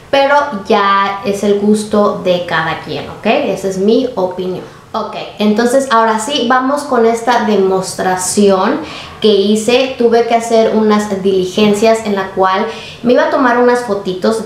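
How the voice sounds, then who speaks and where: A woman talks at a fairly slow pace with ordinary pitch variation. The room echo is audible. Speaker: beauty vlogger. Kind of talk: casual vlog chat. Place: home room.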